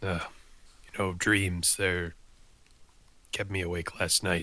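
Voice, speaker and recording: A man's put-on character voice, raspy and very deep, with monotone, flat intonation and a fairly slow pace. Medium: actual play.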